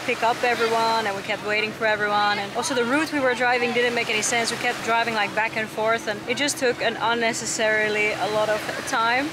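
Over noticeable background noise, a woman speaks at a very fast pace in a dry sound with no echo. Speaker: travel vlogger. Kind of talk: casual vlog chat. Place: beach. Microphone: phone near.

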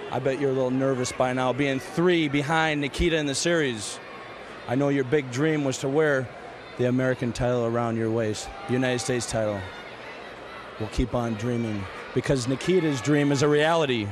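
Noticeable background noise is present while a man speaks fairly quickly. His pitch is medium, with ordinary variation. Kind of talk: wrestling promo, vengeful interview.

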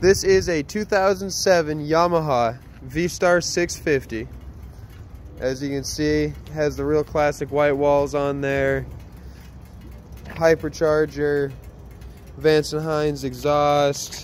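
A man at a very slow pace with long, frequent pauses and fairly even intonation, dry sound with no echo, light background noise. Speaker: motorcycle salesman. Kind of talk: sales walkaround commentary. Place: street. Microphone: phone near.

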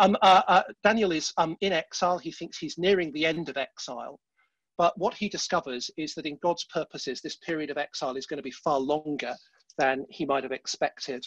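Over a quiet background, a man talks at a fairly quick pace with ordinary pitch variation, the sound dry with no echo. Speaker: church leader hosting webinar. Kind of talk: sermon-style Bible teaching. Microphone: headset.

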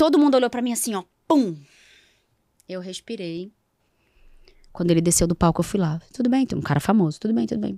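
A woman talks at a very fast pace yet leaves long, frequent pauses. Her pitch swings very widely over a quiet background. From Rio de Janeiro, Brazil. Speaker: psychoanalyst and NGO founder; psychoanalyst. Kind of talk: casual interview. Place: studio. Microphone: studio mic.

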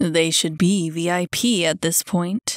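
In a put-on character voice, a woman growls in a raspy, fairly low pitch, the sound dry and close with no echo. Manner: growling, irritated.

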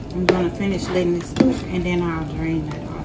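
Loud background noise surrounds a woman's voice. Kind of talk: cooking tutorial. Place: kitchen. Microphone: phone near.

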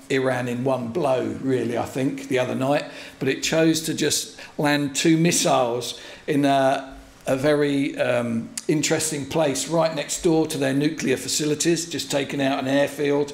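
With monotone, flat intonation and a moderate pace, the voice carries audible room echo. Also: man. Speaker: visiting pastor. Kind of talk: sermon. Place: church. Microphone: podium.

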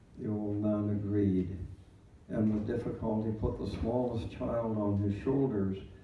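Against light background noise and audible room echo, a man speaks fairly slowly in a fairly low voice with fairly even intonation. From Canada. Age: 90s. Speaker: retired clergyman. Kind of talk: Remembrance Day address. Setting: church service. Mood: solemn, measured storytelling. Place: hall.

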